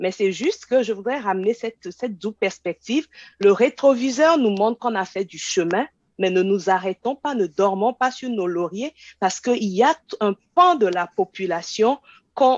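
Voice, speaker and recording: A woman's fairly high voice rises and falls in a lively way as she talks at a moderate speed. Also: dry, close sound with no echo. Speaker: professor and researcher. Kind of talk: panel discussion.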